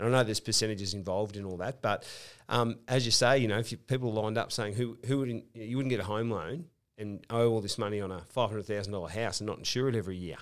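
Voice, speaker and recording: Very fast delivery from a man with an Australian accent, a fairly low pitch and fairly even intonation. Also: very clean recording, silent background. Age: 40s. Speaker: podcast host. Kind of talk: casual chat.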